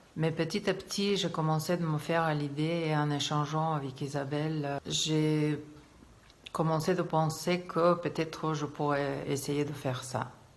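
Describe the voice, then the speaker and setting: Over noticeable background noise and audible room echo, a woman speaks at a fairly slow pace in a very deep, low pitch with fairly even intonation. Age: 60s. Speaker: English teacher, client giving testimonial. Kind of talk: testimony. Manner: hesitant, many filler sounds.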